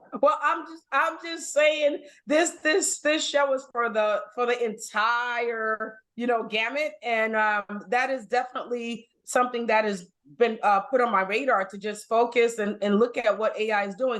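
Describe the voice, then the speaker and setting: With a Brooklyn accent, a woman speaks at a high pitch and a fairly slow pace, using ordinary pitch variation. She leaves hardly any pauses. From Brooklyn, New York. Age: 50s. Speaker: podcast guest host. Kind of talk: casual chat.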